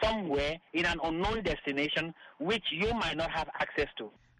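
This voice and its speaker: In a raised, projected voice, a man speaks at a moderate pace with ordinary pitch variation and noticeable background noise. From Cameroon. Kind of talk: recorded interview clip.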